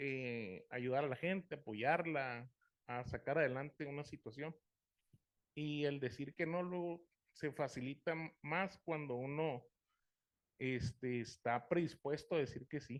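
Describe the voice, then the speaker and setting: This man has a normal speaking voice, pitched fairly high. He speaks at a fairly slow pace with ordinary pitch variation. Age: 40s. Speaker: support group member. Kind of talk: group sharing.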